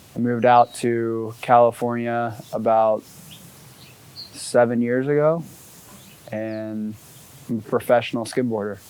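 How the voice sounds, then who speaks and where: The speaker talks at a fairly slow pace with an American accent, leaving long, frequent pauses in a flat monotone over noticeable background noise. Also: man, medium pitch for a man. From US South, coastal Georgia (Savannah). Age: 20s. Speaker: professional skimboarder. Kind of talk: interview. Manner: casual, laid-back.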